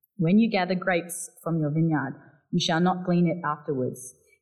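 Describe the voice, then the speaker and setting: A woman with a South Australian accent speaks at a moderate pace in a very deep, low pitch. Her voice is somewhat breathy, with ordinary pitch variation. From Barossa Valley, South Australia. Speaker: charity worker giving a church talk. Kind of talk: sermon-style church talk. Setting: church.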